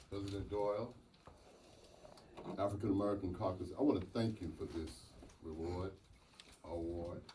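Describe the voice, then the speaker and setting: A man with a Southern US accent and a very deep, low pitch, moderate pace, ordinary pitch variation, long and frequent pauses, and audible room echo. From US South, North Carolina. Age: 70s. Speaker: mayor. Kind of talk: acceptance speech.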